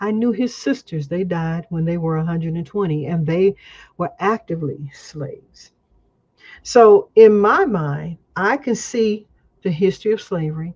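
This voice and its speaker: With an American accent, a woman speaks at a moderate pace and a fairly low pitch. Her voice is somewhat breathy, with lively intonation. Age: 70s. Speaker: community elder, guest speaker. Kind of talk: casual interview chat.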